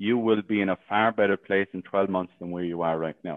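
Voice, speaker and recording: With an Irish accent, a man speaks at a moderate pace in a fairly low pitch, his intonation fairly even. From Ireland. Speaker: sales coach. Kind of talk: interview. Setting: live stream in a Facebook group.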